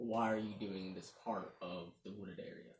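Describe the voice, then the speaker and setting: A man speaks in a put-on character voice with a fairly low pitch. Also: moderate pace. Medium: actual play.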